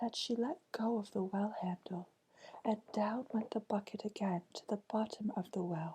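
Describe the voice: What we hear is someone plainly reading a text aloud.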